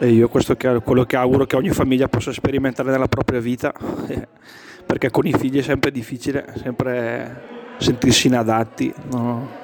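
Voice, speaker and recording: A man at a fairly quick pace with monotone, flat intonation, long, frequent pauses and noticeable background noise. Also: medium pitch for a man. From Brescia area. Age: 30s. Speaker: father of a large family. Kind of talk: interview.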